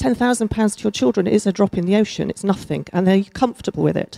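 At a medium pitch, a woman speaks with a dark, mellow tone and vocal fry, her voice dry and close with no echo on a very clean recording with a silent background. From Chesterfield, England. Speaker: lawyer, audience member. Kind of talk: audience question.

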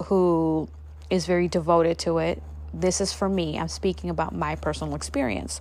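A woman talks at a moderate pace. The recording is very clean, the background silent. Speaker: podcast host and spiritual healer. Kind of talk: casual monologue. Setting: home.

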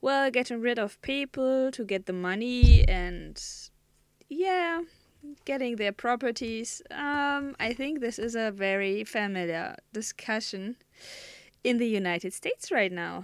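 A woman speaks in a German accent. Her pitch is fairly high. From Germany. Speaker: podcast host. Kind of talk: solo monologue. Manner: halting.

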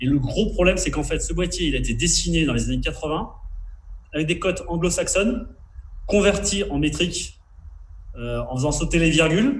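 Audible room echo surrounds a man who speaks at a moderate pace with long, frequent pauses. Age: 40s. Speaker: foil board manufacturer. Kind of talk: interview.

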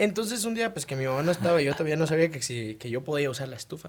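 Over noticeable background noise, a man with a fairly high pitch talks at a very fast pace and with lively intonation. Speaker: podcast host. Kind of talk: casual chat.

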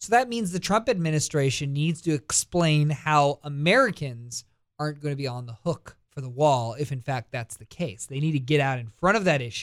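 A man with an unremarkable speaking voice talks at a moderate pace in a fairly high pitch. His intonation is lively, on a very clean recording with a silent background. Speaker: radio host. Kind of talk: talk radio monologue and interview.

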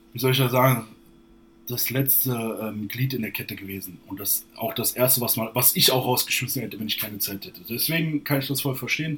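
A man talks fairly quickly in a medium pitch, with ordinary pitch variation. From northern Hesse, Germany. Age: 20s. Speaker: fitness influencer and bodybuilder. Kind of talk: casual interview. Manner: hesitant, many fillers.

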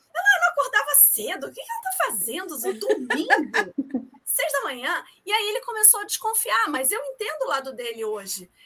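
A woman projects a raised voice at an extremely high pitch. Her bright, sharp tone swings very widely in pitch. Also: moderate pace. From Rio de Janeiro, Brazil. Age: 40s. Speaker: amateur runner and mother. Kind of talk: podcast interview.

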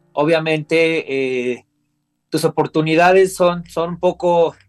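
The speech, heard dry and close with no echo, has ordinary pitch variation while music plays behind it. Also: man. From Mexico, Coacalco, State of Mexico. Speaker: professional wrestler. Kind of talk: interview. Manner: halting, frequent repetitions.

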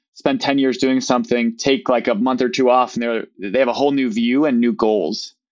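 Speaking in a Midwestern American accent, a man moves at a fairly quick pace. His pitch is medium, with ordinary variation. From US Midwest. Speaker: business owner. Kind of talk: casual interview conversation.

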